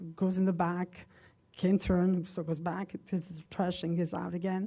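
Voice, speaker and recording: Her voice is fairly low in pitch, dark and mellow in tone, and somewhat breathy. This woman speaks with a non-native accent and flat, monotone intonation. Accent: foreign accent, noticeable. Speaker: local business owner speaking at public comment. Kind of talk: public comment at township meeting. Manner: halting, many fillers.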